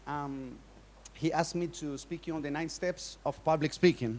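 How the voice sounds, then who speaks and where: This man talks at a moderate pace with a Colombian accent. His intonation stays fairly even. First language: Spanish. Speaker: workshop speaker. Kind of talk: conference talk. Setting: stage with audience. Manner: halting.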